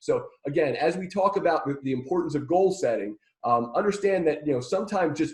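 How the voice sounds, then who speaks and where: A man talking at a fairly quick pace. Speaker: marketing trainer. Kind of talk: webinar presentation. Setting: live online webinar. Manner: fast; halting, many fillers and repeats.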